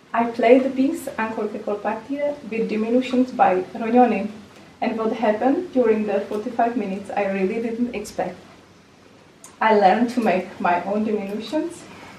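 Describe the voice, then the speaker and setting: A woman with a fairly high pitch talks at a moderate pace with ordinary pitch variation. Noticeable background noise and audible room echo surround her voice. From Czech Republic. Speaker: recorder teacher and performer. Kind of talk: conference lecture. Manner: halting, with fillers and repetitions.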